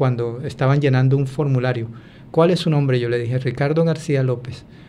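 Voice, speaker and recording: Medium-pitched male speech, fairly even in intonation, with room echo clearly audible. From Colombia, Buenaventura. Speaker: former migrant. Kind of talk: interview testimony. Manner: halting, many fillers.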